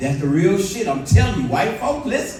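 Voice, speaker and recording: Against noticeable background noise and audible room echo, a man speaks in an animated tone. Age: 60s. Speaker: comedian. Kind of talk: stand-up. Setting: stage with audience.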